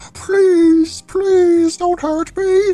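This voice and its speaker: A woman's voice, pitched extremely high, in a put-on character voice. Her delivery stays monotone, with flat intonation. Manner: pleading.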